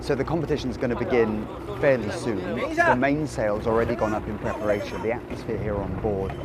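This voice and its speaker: Over noticeable background noise and audible room echo, a man talks at a fairly low pitch with ordinary pitch variation. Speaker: TV culture and travel show host. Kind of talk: on-location presenting. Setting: outdoors on a sailing boat. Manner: quiet.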